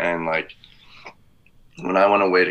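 A man with an American accent speaks in a monotone, flat intonation at a very deep, low pitch. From rural Pennsylvania. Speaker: TikTok content creator. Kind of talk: casual interview chat.

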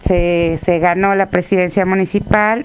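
Against noticeable background noise, a woman talks very slowly at a medium pitch. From Mexico, Tlaxcala. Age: 30s. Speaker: mayor. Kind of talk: interview.

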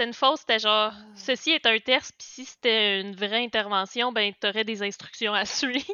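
A woman with a Quebec accent talks at a moderate pace and fairly high pitch, with big swings in loudness and hardly any pauses. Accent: Québécois French. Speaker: knitting podcaster. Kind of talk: casual chat.

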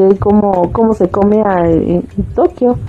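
Speaking at a very slow pace in a central Mexican accent, a woman is heard over noticeable background noise. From central Mexico. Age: 40s. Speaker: live streamer. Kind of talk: casual chat. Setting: live stream.

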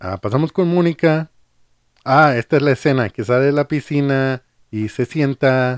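This man has a fairly high voice with ordinary pitch variation and a fairly slow pace. His sound is dry and close, with no echo. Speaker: podcast host. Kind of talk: casual chat.

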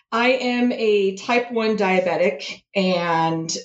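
A woman speaks with ordinary pitch variation. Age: 40s. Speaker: engineering graduate student. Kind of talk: casual interview. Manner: animated.

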